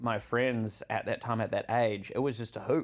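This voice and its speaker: A man with a New Zealand accent talks at a fairly slow pace and medium pitch. The recording is very clean, with a silent background. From New Zealand, Auckland. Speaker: content creator. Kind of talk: podcast interview, personal story.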